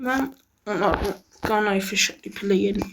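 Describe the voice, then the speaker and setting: With an Azeri accent, a woman speaks at a moderate pace and medium pitch. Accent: Turkish (Azeri) accent in Persian. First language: Azerbaijani Turkish (speaking Persian). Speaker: gaming youtuber. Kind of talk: casual gameplay commentary.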